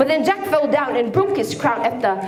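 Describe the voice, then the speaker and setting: Noticeable background noise is present throughout. Over it, a woman's pitch swings very widely. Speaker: spoken word poet. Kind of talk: spoken word poetry performance. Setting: live stage performance in a hall.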